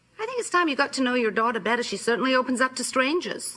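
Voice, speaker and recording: A woman talks in a raised, projected voice at a high pitch with lively intonation. Her pace is very fast, and there is noticeable background noise. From Illinois. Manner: haughty, condescending.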